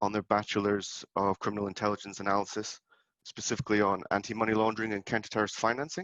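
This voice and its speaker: Recorded dry and close with no echo against a quiet background, a man talks at a fairly quick pace in a fairly low, bright and sharp voice with fairly even intonation. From UK. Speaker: lecturer and former police officer. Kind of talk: webinar lecture. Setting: video call webinar. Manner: halting, many repetitions.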